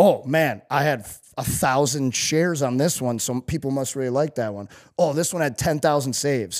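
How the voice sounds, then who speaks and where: An unremarkable speaking voice from a man with an American accent, fairly high in pitch, in a very clean recording with a silent background. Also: ordinary pitch variation, moderate pace. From US Midwest, St. Louis. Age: 30s. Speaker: former pro hockey player and personal trainer. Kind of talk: casual interview chat.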